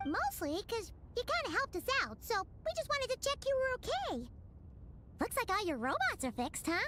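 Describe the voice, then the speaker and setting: In a put-on character voice at an extremely high pitch, the speaker moves at a fairly quick pace broken by long, frequent pauses, with clear background noise behind. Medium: video game. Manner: casual, relaxed.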